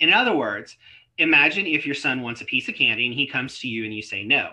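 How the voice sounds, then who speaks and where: At a moderate pace, a man with a normal speaking voice talks at medium pitch. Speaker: lawyer giving a continuing legal education talk. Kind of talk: lecture. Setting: live online webinar.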